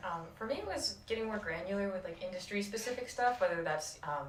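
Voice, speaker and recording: The speaker has an American accent. Noticeable background noise and audible room echo fill the recording. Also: woman. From Rochester, New York. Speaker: intern, recent graduate. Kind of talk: casual interview podcast.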